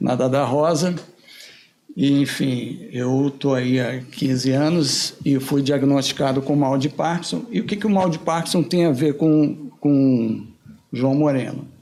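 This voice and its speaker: A man with a normal speaking voice talks fairly slowly in a fairly high pitch, with ordinary pitch variation and very even loudness. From Brazil, Rio de Janeiro. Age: 60s. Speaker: guest with Parkinson's sharing experience. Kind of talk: testimony.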